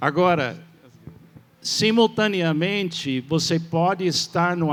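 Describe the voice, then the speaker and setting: Here is a man with a high-pitched voice for a man and ordinary pitch variation. He talks at a very slow pace. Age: 70s. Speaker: pastor. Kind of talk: church panel talk. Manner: halting.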